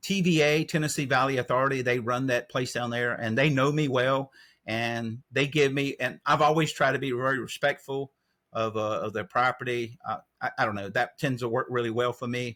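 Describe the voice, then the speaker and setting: A man with a Southern US accent, medium pitch, ordinary pitch variation, a moderate pace, and a bright, sharp tone on a very clean recording with a silent background. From North Carolina. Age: 60s. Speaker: trail angel. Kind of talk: interview.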